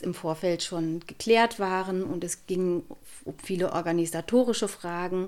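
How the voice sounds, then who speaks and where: Heard on a very clean recording with a silent background, a woman speaks very slowly. Her medium pitch follows fairly even intonation. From Lower Saxony, Germany (near former inner-German border). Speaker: local politician. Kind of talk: interview. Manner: hesitant, many filler sounds.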